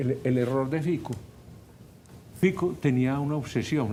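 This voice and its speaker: The voice is somewhat breathy, with a dark, mellow tone. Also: man. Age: 70s. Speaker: professor and political commentator. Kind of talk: talk radio interview. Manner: animated, energetic.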